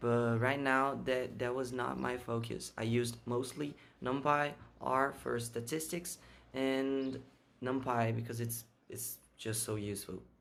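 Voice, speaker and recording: Amid audible room echo, a man speaks at a medium pitch and a fairly slow pace with fairly even intonation. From Brazil. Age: 20s. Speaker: software engineer. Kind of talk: interview answers. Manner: halting, repeats words.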